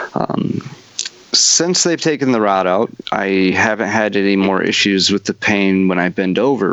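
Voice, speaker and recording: A man with a very deep, low pitch speaks at a fairly slow pace against noticeable background noise. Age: 30s. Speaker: podcast host. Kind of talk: casual interview.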